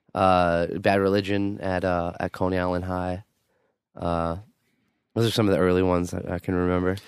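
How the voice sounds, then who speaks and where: A man with a New York accent speaks at a moderate pace in a very deep, low pitch, with monotone, flat intonation. He leaves long, frequent pauses, and the recording is very clean with a silent background. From Queens, New York. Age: 20s. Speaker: punk band singer. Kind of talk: casual interview.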